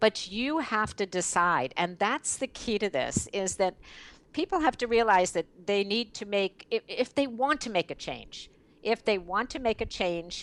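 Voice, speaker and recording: With an ordinary speaking voice, a woman talks fairly slowly at medium pitch with lively intonation, the sound dry and close with no echo. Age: 60s. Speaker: network marketing leader. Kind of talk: interview.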